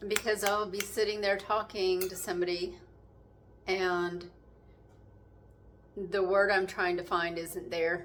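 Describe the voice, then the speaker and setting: A woman talks fairly slowly, keeping her voice at a medium pitch. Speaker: home cooking and gardening vlogger. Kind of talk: casual vlog talk. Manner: halting, pausing to find words.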